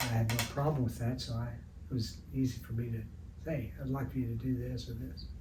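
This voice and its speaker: A man with an American accent at a fairly quick pace, in a room with audible echo. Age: 70s. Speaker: retired art teacher and sports artist. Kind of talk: interview. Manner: halting, many fillers.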